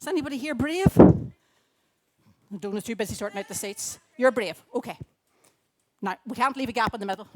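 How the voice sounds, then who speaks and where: Lively intonation runs through the speech of a woman with a Northern Irish accent. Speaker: children's talk speaker at church. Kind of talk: children's talk in church service. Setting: church gathering with audience. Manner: loud; animated.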